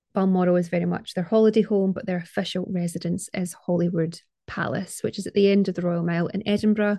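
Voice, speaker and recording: A woman with a dark, mellow tone talks at a very fast pace with fairly even intonation and hardly any pauses. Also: medium pitch for a woman. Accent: Scottish. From Scotland. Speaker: podcast host, art historian. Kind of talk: scripted narration.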